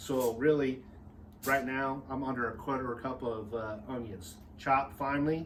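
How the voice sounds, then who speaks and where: Medium-pitched male voice at a moderate pace with audible room echo. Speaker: barbecue company cook and presenter. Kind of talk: cooking tutorial. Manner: casual, energetic.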